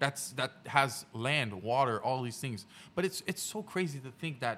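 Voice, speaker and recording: The man's voice has a bright, sharp tone. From Haiti. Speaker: podcast host. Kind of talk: casual chat.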